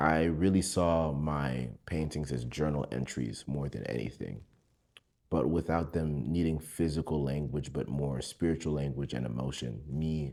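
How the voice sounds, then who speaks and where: At a fairly slow pace, a man with a very deep, low pitch speaks with fairly even intonation. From US, Broward County Florida, Haitian-American. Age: 20s. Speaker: painter. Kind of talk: interview monologue.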